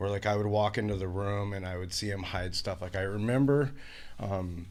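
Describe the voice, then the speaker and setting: Fairly even in intonation, a man's voice sits at a very deep, low pitch. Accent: Pacific Northwest. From Washington state, US. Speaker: person in addiction recovery. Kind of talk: interview testimony. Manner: many fillers, hesitant.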